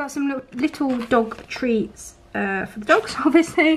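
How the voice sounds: At a fairly slow pace, a woman speaks with a high pitch, a fairly bright tone and lively intonation.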